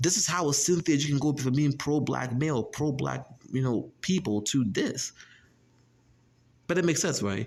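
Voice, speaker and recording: At a moderate pace, a somewhat breathy man talks with ordinary pitch variation and long, frequent pauses. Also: fairly high pitch for a man. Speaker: YouTube commentator. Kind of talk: casual monologue vlog. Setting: on campus. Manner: repetitive, stammering restarts.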